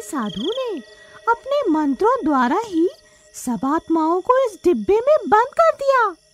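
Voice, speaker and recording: In a put-on character voice, a female-sounding speaker talks at a fairly slow pace with extremely high pitch and very wide pitch swings. Music plays in the background. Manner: scheming, menacing.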